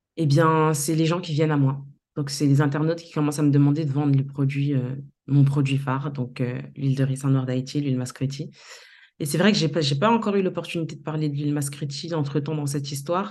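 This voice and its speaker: Amid audible room echo, a woman with a very deep, low pitch and a dark, mellow tone speaks at a fairly quick pace with fairly even intonation. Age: 30s. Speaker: entrepreneur. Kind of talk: interview.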